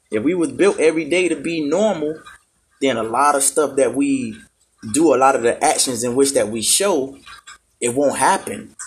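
A man's fairly high pitch, with ordinary pitch variation and a moderate pace. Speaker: podcast host. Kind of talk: casual monologue. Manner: laid-back.

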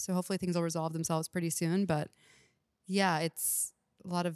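This woman has an American accent and a fairly low pitch. Her intonation is flat and monotone, and the sound is dry and close with no echo. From Texas, Houston. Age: 30s. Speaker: comedian. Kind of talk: casual chat.

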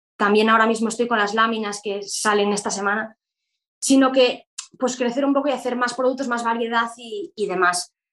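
A woman with a fairly high voice talks at a fairly quick pace, her intonation fairly even. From Spain, Galicia. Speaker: law student and entrepreneur. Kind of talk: interview. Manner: halting, many fillers and repetitions.

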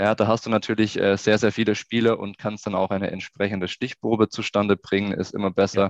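The recording has a dry, close sound with no echo and a quiet background as a man talks in a fairly low, monotone, flat voice. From Swabian Jura, southern Germany. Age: 20s. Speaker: youth football coach and sports researcher. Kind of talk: interview.

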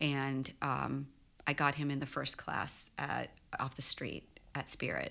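Speaking with an American accent, a woman with a very deep, low pitch uses a bright, sharp tone and vocal fry at a fairly slow pace. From Texas, Houston. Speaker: pilot. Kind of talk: casual chat.

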